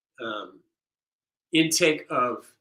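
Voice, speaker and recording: A man speaks with fairly even intonation. His tone is bright and sharp. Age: 60s. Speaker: percussionist leading a rhythm circle. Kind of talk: online workshop wrap-up talk. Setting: video stream. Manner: casual, halting with many fillers.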